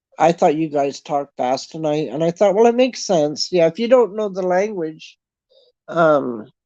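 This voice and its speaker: The voice has a dark, mellow tone and very wide pitch swings at a moderate pace. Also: woman, fairly low pitch for a woman. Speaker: video blogger. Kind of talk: casual livestream chat responding to viewers. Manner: conversational, hesitant with many fillers.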